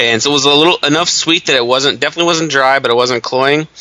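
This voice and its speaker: A man speaks in a relaxed tone. Noticeable background noise runs behind him. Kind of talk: casual chat. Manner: profane, relaxed.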